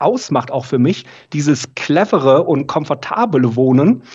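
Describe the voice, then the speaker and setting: A man's fairly high, somewhat breathy voice with ordinary pitch variation. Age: 30s. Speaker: audiologist, training lead. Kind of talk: casual interview.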